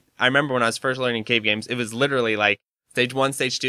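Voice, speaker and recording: Dry and close with no echo, a very clean recording with a silent background carries a man's medium-pitched voice with a bright, sharp tone. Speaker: podcast host. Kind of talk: casual chat.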